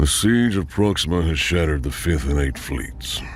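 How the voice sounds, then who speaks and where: In a put-on character voice, a man speaks at a moderate pace, rumbling and gravelly, with clear background noise. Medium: read story. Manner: curt, commanding.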